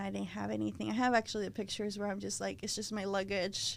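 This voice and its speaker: A woman with a Spanish accent, her voice fairly high, talking very fast. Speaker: floral designer. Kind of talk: interview conversation. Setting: podcast recording.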